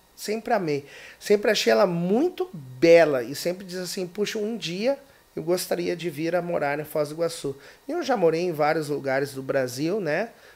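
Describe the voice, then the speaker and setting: A man's high pitch and lively intonation carry his moderate-paced speech. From Brazil, Rio Grande do Sul (Porto Alegre). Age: 40s. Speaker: political YouTuber and activist. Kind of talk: podcast interview.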